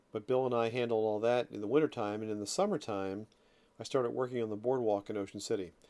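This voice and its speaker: Here a man talks at a very fast pace. His medium-pitched voice has a dark, mellow tone and fairly even intonation. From South Jersey, US. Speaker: podcast host. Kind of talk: personal monologue. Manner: halting, with repeated words.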